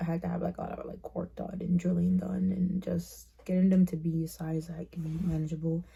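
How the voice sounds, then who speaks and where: A woman speaks in a dark, mellow, somewhat breathy voice with a fairly low pitch. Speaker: vlogger. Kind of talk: personal vlog monologue. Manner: casual, hesitant with fillers.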